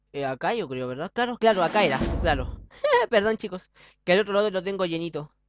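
Over noticeable background noise, a man speaks at a very fast pace in a dry sound with no echo. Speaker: gaming youtuber; gamer. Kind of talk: let's play gameplay commentary. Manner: stumbles over words. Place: home room. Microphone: webcam.

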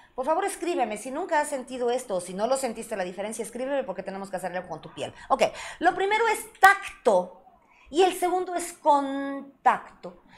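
Animated and high-pitched, a woman talks at a fairly quick pace with very wide pitch swings and big swings in loudness. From Mexico. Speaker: sex therapist and show host; show host. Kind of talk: live-stream talk show. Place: studio.

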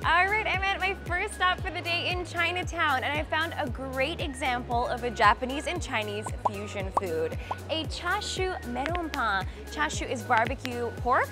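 Clear background music behind a woman's moderate pace. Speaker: food travel host. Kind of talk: casual vlog chat. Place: street. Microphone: lapel.

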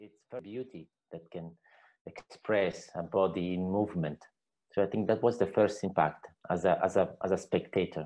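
At a moderate pace, a man speaks low in pitch with a dark, mellow tone and ordinary pitch variation.

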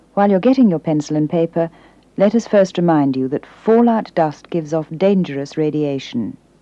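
A woman speaks in a calm, stern, dark and mellow tone, her intonation lively. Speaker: public information announcer. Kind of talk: 1970s public information film narration, scripted official instructions read aloud. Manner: calm, clear and reassuring yet stern, slow deliberate pacing. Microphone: old recording.

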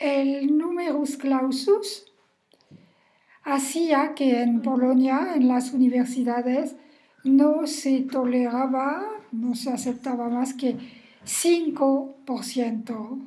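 Against a quiet background, a woman with a high pitch and a dark, mellow tone speaks at a very slow pace with ordinary pitch variation. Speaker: family history storyteller. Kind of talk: personal recollection monologue. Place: home room. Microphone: webcam.

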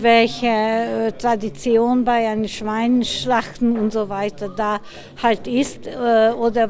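A woman speaks very slowly at a fairly high pitch with fairly even intonation, over noticeable background noise. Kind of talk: interview answer.

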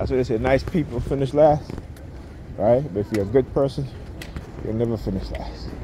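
Long, frequent pauses break up speech with ordinary pitch variation. The sound is dry with no echo, and there is noticeable background noise. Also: man. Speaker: vlogger. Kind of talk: angry rant. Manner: loud, heated and indignant, with repeated "all right" and sarcastic laughs; rapid-fire, preachy and opinionated, with scornful, lecturing delivery. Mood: opinionated, preachy. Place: street. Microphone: phone near.

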